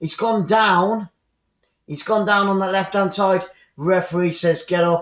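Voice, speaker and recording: Using an English accent, a man with a high pitch speaks at a moderate pace. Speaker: football commentator. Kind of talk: live commentary. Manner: animated.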